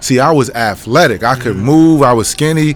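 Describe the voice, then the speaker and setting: A man talks in a New York accent at a moderate pace. His pitch variation is ordinary, with music in the background. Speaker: former college basketball player and youth coach. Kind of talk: interview. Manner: casual.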